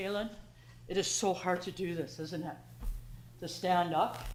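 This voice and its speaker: With vocal fry and a fairly low pitch, a woman talks at a fairly slow pace amid audible room echo. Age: 60s. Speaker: member of the public at council meeting. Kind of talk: public comment. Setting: council meeting. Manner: halting.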